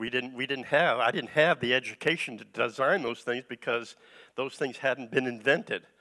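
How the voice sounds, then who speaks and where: A man's bright, sharp voice at a fairly slow pace with ordinary pitch variation, dry and close with no echo, in a very clean recording over a silent background. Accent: American. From US East Coast. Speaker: guest preacher, retired engineer. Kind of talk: sermon. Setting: church. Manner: halting, many fillers.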